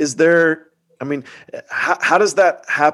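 Speaking with an American accent, a man has a normal speaking voice with ordinary pitch variation. He keeps a moderate pace against a quiet background. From Atlanta suburbs, US South. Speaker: pastor and podcast host. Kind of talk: casual interview.

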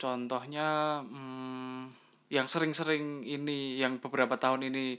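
In a bright, sharp tone, a man talks at a moderate speed, the recording very clean with a silent background. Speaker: design lecturer and photographer. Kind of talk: casual interview. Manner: halting, many fillers.

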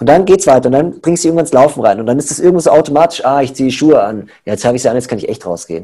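This man talks very fast and hardly pauses, his intonation lively. His pitch sits fairly high, with a dark, mellow tone. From Munich, Bavaria. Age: 30s. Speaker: personal trainer and coach. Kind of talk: casual interview.

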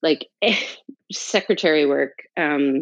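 An American accent comes through as the woman talks. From North New Jersey, US. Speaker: tarot teacher and entrepreneur. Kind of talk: interview, personal life story.

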